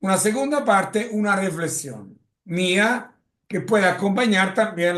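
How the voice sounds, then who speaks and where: With an Italian accent and ordinary pitch variation, the speaker talks at a fairly slow pace amid audible room echo. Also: man. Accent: Italian-tinged Spanish. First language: Italian (speaking Spanish). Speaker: lecturer on drug policy. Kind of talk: lecture. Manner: halting.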